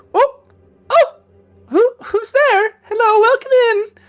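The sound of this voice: A squeaky, put-on character voice with extremely high pitch speaks at a fairly slow pace.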